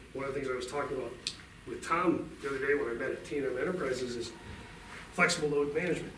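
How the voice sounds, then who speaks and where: The recording carries audible room echo. Noticeable background noise is present too. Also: man. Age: 60s. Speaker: utility company representative. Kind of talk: talk to a club meeting.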